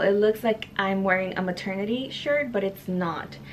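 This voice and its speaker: A woman talks fairly slowly, her intonation fairly even, while noticeable background noise carries on around her. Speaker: beauty YouTuber. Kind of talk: haul video monologue. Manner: casual with many fillers.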